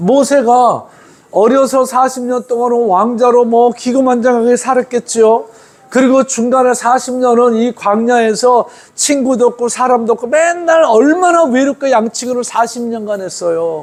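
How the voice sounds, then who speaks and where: At a fairly slow pace, a man speaks in an extremely high pitch. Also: ordinary pitch variation. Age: 60s. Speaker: pastor. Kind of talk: sermon. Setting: church. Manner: conversational, informal asides to congregation.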